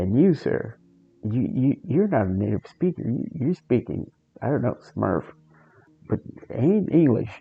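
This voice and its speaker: Very wide pitch swings at a fairly slow pace, with long, frequent pauses and music in the background. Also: man, medium pitch for a man. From Portugal. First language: Portuguese. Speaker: gaming streamer. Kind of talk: casual chat.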